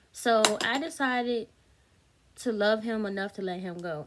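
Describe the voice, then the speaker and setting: A woman's animated tone with ordinary pitch variation, over noticeable background noise. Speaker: YouTuber. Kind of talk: storytime monologue. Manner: fast.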